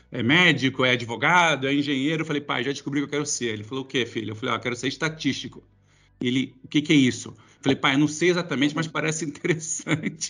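The speaker has a bright, sharp tone, ordinary pitch variation and a very fast pace, set against a quiet background. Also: man, fairly high pitch for a man. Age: 40s. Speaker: tech company executive. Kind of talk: interview. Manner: casual.

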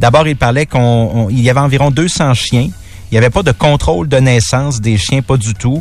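With a Quebec accent, a man speaks at a moderate pace and medium pitch, taking hardly any pauses, keeping very even loudness and showing ordinary pitch variation. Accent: Québécois French. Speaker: radio news presenter. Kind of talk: news rundown.

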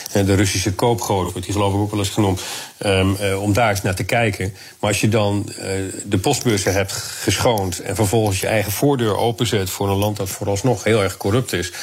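A man talks at a fairly low pitch in a monotone, flat intonation. Noticeable background noise runs under his voice. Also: moderate pace. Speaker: security policy analyst. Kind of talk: radio interview.

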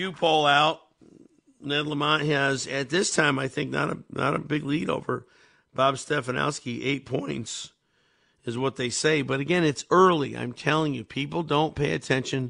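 Vocal fry runs through this fairly evenly intoned delivery at a moderate pace. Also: man, fairly high pitch for a man. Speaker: radio talk show host and pastor. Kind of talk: call-in talk radio. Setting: radio studio.

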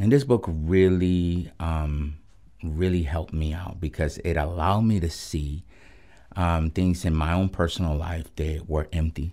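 Speaking in a Spanish accent, a man talks at a fairly slow pace with a very deep, low pitch. His tone is dark and mellow, and his intonation is fairly even. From Puerto Rico, then Los Angeles from age nine. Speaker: pastor of a recovery ministry. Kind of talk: testimony. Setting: radio studio interview. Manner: halting, many fillers and repeated words.

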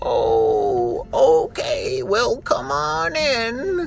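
Someone does a put-on character voice over clear background noise. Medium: read story.

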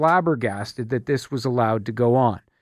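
Using a plain, everyday voice with a Canadian accent, a man talks at a moderate pace with lively intonation on a very clean recording with a silent background. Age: 50s. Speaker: radio host. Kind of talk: talk radio. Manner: conversational with fillers.

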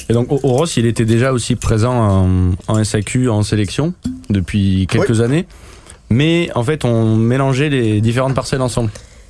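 With noticeable background noise behind him, a man talks at a medium pitch and very even loudness. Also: ordinary pitch variation, fairly slow pace. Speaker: winemaker. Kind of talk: interview.

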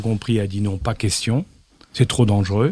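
A somewhat breathy man with a dark, mellow tone speaks at medium pitch and a moderate pace, his intonation fairly even. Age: old. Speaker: former intelligence chief and geopolitics expert. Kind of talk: interview.

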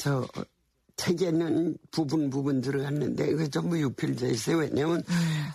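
A woman with a very deep, low pitch talks at a fairly slow pace with ordinary pitch variation. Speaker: literary museum director. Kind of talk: interview. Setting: studio.

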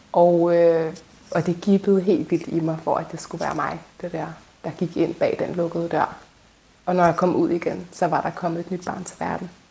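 The intonation is monotone and flat, with noticeable background noise behind the voice. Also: woman, fairly low pitch for a woman, moderate pace. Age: 30s. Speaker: midwife. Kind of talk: interview testimony.

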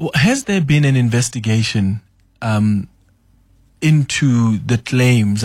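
A somewhat breathy male voice in a very clean recording against a silent background. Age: young. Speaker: radio host. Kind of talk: radio interview. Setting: radio studio.

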